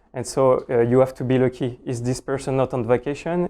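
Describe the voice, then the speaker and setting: In a French accent, the speaker talks at a moderate pace with fairly even intonation and a dark, mellow tone. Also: man. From France. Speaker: cloud solutions architect, conference speaker. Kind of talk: technical conference talk. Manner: hesitant, many fillers.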